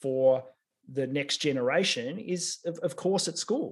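With an Australian accent and lively intonation, a man talks in a fairly high pitch for a man. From Australia, regional Victoria. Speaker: technology executive and engineer. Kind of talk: interview.

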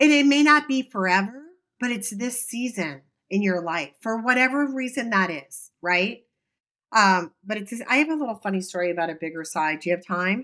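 A woman's medium-pitched, bright, sharp voice at a moderate pace, with very wide pitch swings. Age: 50s. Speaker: podcast co-host. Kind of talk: casual chat.

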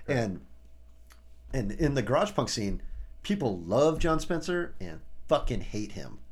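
In an American accent, a man with a medium pitch and vocal fry talks at a fairly slow pace with very wide pitch swings and long, frequent pauses, his voice carrying audible room echo. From US Midwest, Champaign, Illinois. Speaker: rock drummer. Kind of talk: casual chat.

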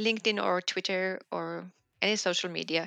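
A woman with a Finnish accent, medium pitch and ordinary pitch variation, bright and sharp in tone, in a dry, close sound with no echo and a quiet background. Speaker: business journalist. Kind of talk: interview. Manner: hesitant, with fillers.

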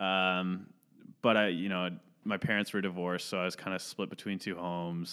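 He speaks in a plain, everyday voice. This man has a fairly low pitch and a moderate pace. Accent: Canadian. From Ontario, Canada (Caledon area). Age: 20s. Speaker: podcast co-host. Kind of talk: casual chat.

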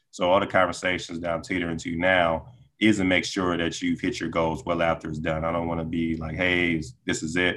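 At a fairly quick pace, a man talks with a very deep, low pitch and monotone, flat intonation. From Metro Atlanta, Georgia. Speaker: real estate agent. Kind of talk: casual interview.

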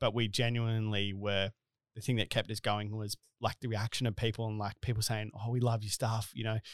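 Recorded very cleanly against a silent background, with a dry, close sound and no echo, a man with a fairly low pitch speaks with monotone, flat intonation in an Australian accent. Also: fairly quick pace. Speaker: podcast host and business co-founder. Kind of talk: casual interview chat. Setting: studio. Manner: jokey, casual.

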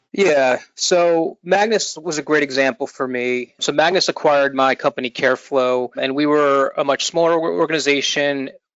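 In an ordinary speaking voice, a man talks at a moderate pace with fairly high pitch, ordinary pitch variation and hardly any pauses. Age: 40s. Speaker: entrepreneur and startup executive. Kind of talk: interview. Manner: casual, filler-heavy.

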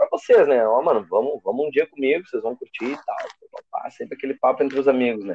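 A man's voice comes across with a dry, close sound and no echo. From southern Brazil, Gravataí. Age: 20s. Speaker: DJ. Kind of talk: casual chat.

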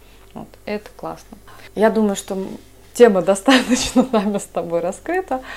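At a moderate pace broken by long, frequent pauses, a woman speaks in a fairly high pitch with ordinary pitch variation and big swings in loudness. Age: 30s. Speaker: podcast co-host, doctor. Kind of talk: casual chat.

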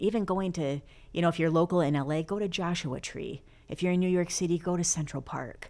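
A woman speaks in a normal speaking voice, fairly low in pitch, with ordinary pitch variation. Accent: American. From US Midwest, Flint, Michigan. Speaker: stand-up comedian and actress. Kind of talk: casual interview chat.

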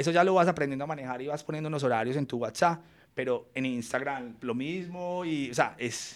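A man with a plain, everyday voice talks at a fairly quick pace with a fairly high pitch and ordinary pitch variation on a very clean recording with a silent background. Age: 30s. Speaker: fashion and interior design entrepreneur. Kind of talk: interview conversation.

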